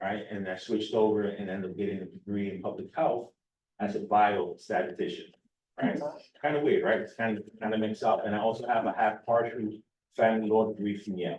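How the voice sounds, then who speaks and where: This man talks at a very fast pace with a New York accent. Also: fairly low pitch for a man. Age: 50s. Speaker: recovery coach director. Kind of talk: personal testimony speech. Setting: public forum with audience. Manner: animated, conversational.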